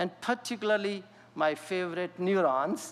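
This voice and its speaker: The man's pitch is high, with ordinary variation. He keeps a moderate pace. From India. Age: 60s. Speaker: scientist. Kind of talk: lecture. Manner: halting.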